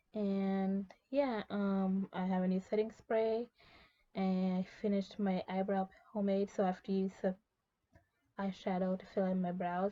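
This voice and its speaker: This woman's voice is quiet, dark and mellow in tone, delivered in a flat monotone. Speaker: beauty vlogger. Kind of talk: casual chat. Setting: in a walk-in closet at night. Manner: quiet and low volume; hushed to avoid waking others.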